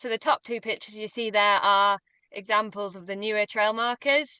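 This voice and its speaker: A woman speaks in a northern English accent. Her pitch is fairly high and her pace moderate. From northern England. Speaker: walking tour guide. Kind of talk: webinar presentation.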